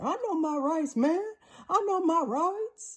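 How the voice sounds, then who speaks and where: A put-on character voice at an extremely high pitch moves along at a fairly slow pace. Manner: pleading, trembling.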